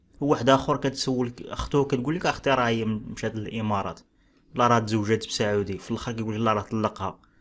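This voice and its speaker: A man with a Moroccan accent. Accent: Moroccan Darija. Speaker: relationship commentary YouTuber. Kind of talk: casual reaction commentary.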